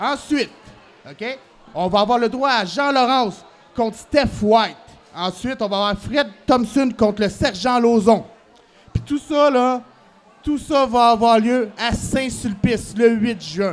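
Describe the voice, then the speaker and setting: Speaking very slowly with long, frequent pauses, a man with a Quebec accent has an extremely high pitch. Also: ordinary pitch variation. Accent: Québécois French. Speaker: professional wrestler. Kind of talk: wrestling promo. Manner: loud.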